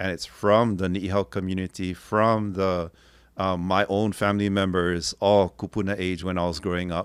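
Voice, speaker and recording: This man has a very deep, low voice and a Hawaiian accent, moving at a moderate pace with fairly even intonation. The recording is very clean, with a silent background. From Hawaii, Kauai. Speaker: linguist and translator. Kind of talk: interview conversation.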